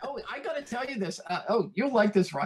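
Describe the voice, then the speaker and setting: Noticeable background noise runs under a man's speech. He talks at a fairly quick pace with ordinary pitch variation. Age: 60s. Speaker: miniature diorama artist. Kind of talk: casual chat.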